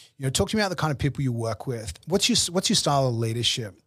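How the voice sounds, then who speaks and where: In a very clean recording with a silent background, a man with an Australian accent speaks at a medium pitch. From Australia, Brisbane. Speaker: business executive and consultant. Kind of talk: interview. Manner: halting, frequent repetitions.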